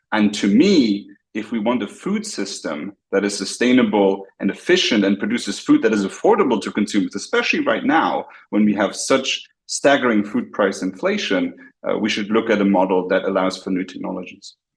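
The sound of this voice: Fairly low in pitch with a slightly husky edge, a man speaks with lively intonation. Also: moderate pace.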